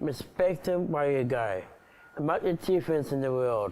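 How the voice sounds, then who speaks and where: A man speaks at a fairly high pitch. His intonation is lively and his pace moderate. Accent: Australian. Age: 30s. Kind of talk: personal video address. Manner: halting.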